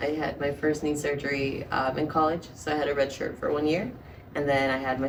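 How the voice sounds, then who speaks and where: A woman with a very deep, low pitch talks at a fairly quick pace. Audible room echo and noticeable background noise surround her. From Colombia, Bogota. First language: Spanish. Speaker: fighter and model. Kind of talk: casual chat.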